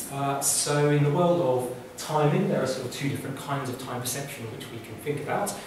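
A man talks at a fairly quick pace. Strong room echo and noticeable background noise surround his voice. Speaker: academic lecturer. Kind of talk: lecture. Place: hall. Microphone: camera far.

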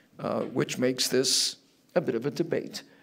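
A man talks in an American accent at a fairly slow pace. His pitch is fairly high, with vocal fry. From Massachusetts. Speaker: debate moderator. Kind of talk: moderating a debate. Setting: stage with audience. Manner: halting. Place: hall. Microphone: podium.

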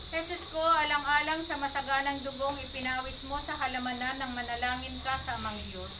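Amid loud background noise, the speech moves at a fairly quick pace with hardly any pauses. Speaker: prayer leader. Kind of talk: vigil prayer for the dead, led in call-and-response with a responder. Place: home room. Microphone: phone near.

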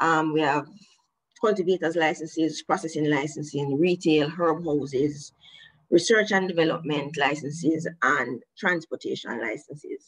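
A woman's very deep, low voice carries ordinary pitch variation against a quiet background. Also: moderate pace. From Jamaica. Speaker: government regulator. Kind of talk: prepared presentation. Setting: video call. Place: home room. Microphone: video call.

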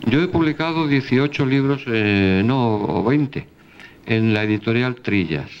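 Speaking very slowly, a man uses lively intonation. His pitch sits in the medium range. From Spain. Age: 70s. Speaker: philosopher and lecturer; lecturer. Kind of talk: lecture. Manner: animated. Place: hall. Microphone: handheld.

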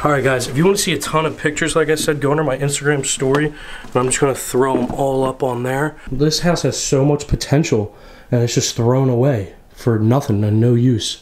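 A man speaks at medium pitch and a fairly quick pace. His intonation stays fairly even.

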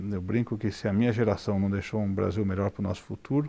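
This man's dark, mellow tone rushes by at a very fast pace. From Brazil. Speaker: business executive; interviewee. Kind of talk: interview. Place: studio. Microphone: lapel.

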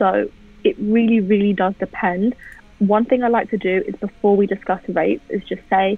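In a London accent, a woman talks at a moderate pace with fairly even intonation, the sound dry with no echo. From England. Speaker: music photographer; guest. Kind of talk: casual interview. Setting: video call. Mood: relaxed, conversational.

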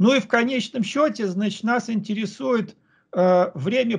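A man's high-pitched voice at a fairly slow pace, with ordinary pitch variation and a quiet background. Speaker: researcher; conference presenter. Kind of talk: conference presentation. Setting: video call. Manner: halting. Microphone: video call.

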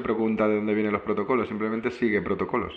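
Very fast speech from a man at medium pitch. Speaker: program host. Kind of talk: interview conversation. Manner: halting.

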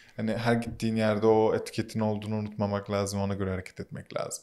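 Flat and monotone, a man with a fairly low pitch rattles along at a very fast pace. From Turkey, Muğla (born Ankara). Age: 30s. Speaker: media startup co-founder. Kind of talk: casual interview. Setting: studio.

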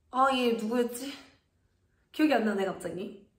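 A woman is heard with light background noise and audible room echo. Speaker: kindergarten teacher. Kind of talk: casual tutorial explanation. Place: classroom. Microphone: phone near.

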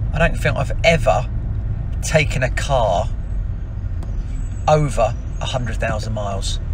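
A man talks at a fairly slow pace. The sound is dry with no echo, over noticeable background noise. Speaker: business owner vlogger. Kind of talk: casual vlog chat. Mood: relaxed, upbeat. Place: car. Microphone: phone near.

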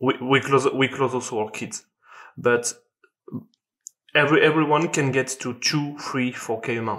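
A man with a French accent talks at a moderate pace and medium pitch, with fairly even intonation and long, frequent pauses, against a quiet background. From France. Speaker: sales closer. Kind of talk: podcast interview answer. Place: home room. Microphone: video call.

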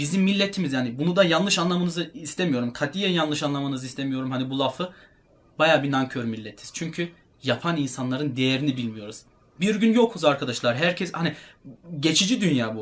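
A man talks at a fairly quick pace with lively intonation. He has an ordinary speaking voice, fairly high in pitch. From Germany (Turkish heritage). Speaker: fitness YouTuber and bodybuilder. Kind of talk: casual talk to camera.

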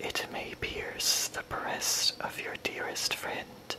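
Whispering at a very slow pace, the speaker uses a gentle, soothing tone over noticeable background noise. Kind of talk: poetry reading, ASMR-style reading aloud. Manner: slow, soft-spoken, gentle and soothing.

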